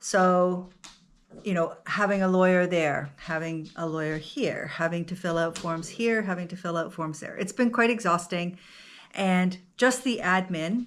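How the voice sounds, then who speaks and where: The recording is very clean, with a silent background. A woman speaks with a fairly low pitch. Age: 60s. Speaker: vlogger. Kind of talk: casual chat.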